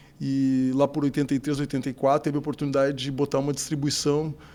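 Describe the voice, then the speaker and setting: Speaking at a fairly quick pace, a man has a fairly high pitch and a dark, mellow tone. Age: 60s. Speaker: business owner, distributor. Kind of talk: interview.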